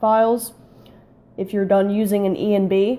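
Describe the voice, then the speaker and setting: A woman speaks at a fairly slow pace in a dark, mellow tone. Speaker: gaming tutorial youtuber. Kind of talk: tutorial. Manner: hesitant, many fillers.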